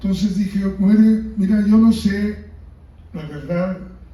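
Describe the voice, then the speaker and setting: Room echo can be heard. The delivery is very slow. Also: man. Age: 70s. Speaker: book author. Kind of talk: book presentation talk.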